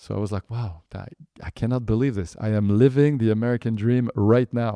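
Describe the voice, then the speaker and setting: With a French accent, a man with a dark, mellow tone talks at a fairly quick pace and medium pitch, in a dry, close sound with no echo. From France, Paris suburbs. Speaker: entrepreneur. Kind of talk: interview storytelling. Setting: podcast interview. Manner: animated; halting, many fillers.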